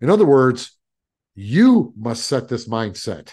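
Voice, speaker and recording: A dark, mellow tone with very wide pitch swings at a very slow pace over a quiet background. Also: man. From small mill town. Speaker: podcast host and stress coach. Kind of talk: solo podcast monologue. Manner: emphatic, preachy.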